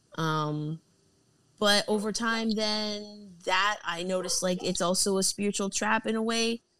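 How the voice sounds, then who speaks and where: A woman with an unremarkable speaking voice talks at a fairly slow pace and a medium pitch. Her intonation is fairly even and her loudness very even. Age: 30s. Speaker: podcast host. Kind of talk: casual chat.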